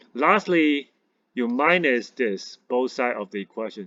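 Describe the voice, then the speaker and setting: A man speaks at a fairly slow pace with lively intonation and a medium pitch. The sound is dry and close with no echo, over a quiet background. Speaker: math teacher. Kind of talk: tutorial.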